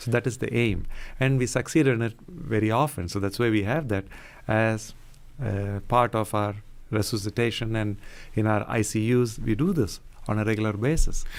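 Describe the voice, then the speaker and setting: Here a soft-spoken man talks at a moderate pace. His pitch is medium, with ordinary variation. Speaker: cardiologist. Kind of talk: radio interview. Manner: calm.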